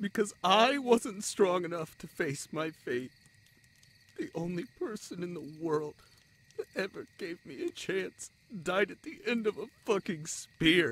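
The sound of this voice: A man's high, fairly bright put-on character voice with lively intonation. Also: fairly slow pace.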